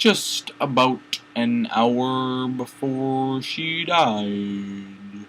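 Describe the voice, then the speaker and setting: A put-on character voice at a very slow pace. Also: man, medium pitch for a man. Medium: read story.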